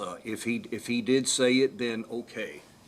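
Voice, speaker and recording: A man with an American accent at a moderate pace, medium-pitched, over noticeable background noise. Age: 60s. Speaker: defendant testifying in court. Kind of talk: courtroom testimony. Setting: courtroom witness stand. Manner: halting, stuttering.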